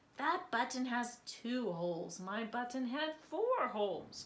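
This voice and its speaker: A woman puts on a high-pitched character voice and speaks at a fairly slow pace. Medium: read story.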